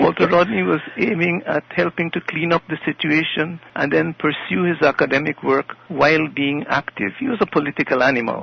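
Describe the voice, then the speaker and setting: A man speaks at a moderate pace with hardly any pauses, his pitch fairly high and his intonation lively. Noticeable background noise runs underneath. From Guyana. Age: 90s. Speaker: politician and historian. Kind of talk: interview.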